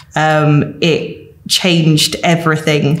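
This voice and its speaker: With a Welsh accent, this woman speaks at a very deep, low pitch. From rural mid Wales. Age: 30s. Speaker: mature student. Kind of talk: documentary interview.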